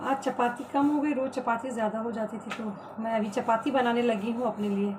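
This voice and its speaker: A woman's fairly high-pitched voice, fairly even in intonation, over noticeable background noise. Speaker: vlogger. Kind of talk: casual vlog chat while cooking. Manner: soft-spoken.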